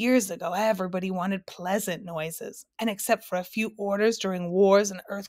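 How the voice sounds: Here is a natural reading voice with fairly even intonation. The background is quiet.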